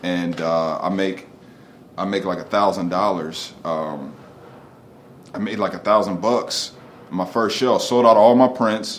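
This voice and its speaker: The speech moves at a very slow pace with ordinary pitch variation. Loudness swings widely, and room echo is audible. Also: man, fairly low pitch for a man. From Delaware, Wilmington. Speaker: artist and muralist. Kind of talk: casual interview. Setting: studio.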